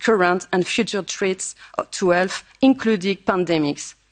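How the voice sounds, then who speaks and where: A woman with a French accent speaks at a moderate pace with fairly even intonation, the sound dry and close with no echo. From France. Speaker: politician. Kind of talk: conference speech. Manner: formal.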